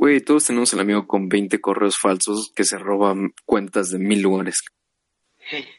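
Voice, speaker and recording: This man speaks fairly slowly with a Mexican accent and a fairly low pitch with ordinary variation. The sound is dry and close, with no echo. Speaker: podcast co-host. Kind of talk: casual chat.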